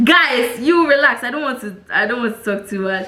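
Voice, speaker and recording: The speaker talks in a Ghanaian accent at a moderate pace, animated in tone with lively intonation. Audible room echo and noticeable background noise are present. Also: woman. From Ghana, Tema. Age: 20s. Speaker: vlogger. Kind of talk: casual vlog talk.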